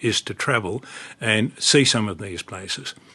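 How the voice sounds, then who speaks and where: With an Australian accent, a man talks at a moderate pace with ordinary pitch variation over noticeable background noise. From Australia, rural Victoria (Horsham). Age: 80s+. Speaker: retired barrister and former politician. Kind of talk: interview.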